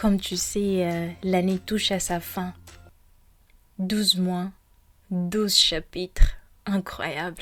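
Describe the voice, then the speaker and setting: A woman's somewhat breathy, gentle voice at medium pitch, flat and monotone, at a very slow pace. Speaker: podcast host. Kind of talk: guided meditation intro, personal reflection. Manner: hesitant, with fillers; gentle, soft.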